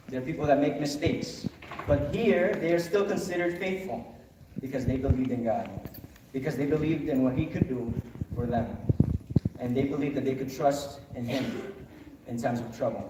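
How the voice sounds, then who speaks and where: With a Spanish accent, the speech runs at a fairly quick pace with ordinary pitch variation and long, frequent pauses, in audible room echo over noticeable background noise. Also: man, fairly high pitch for a man. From Honduras. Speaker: pastor. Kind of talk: sermon. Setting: chapel service.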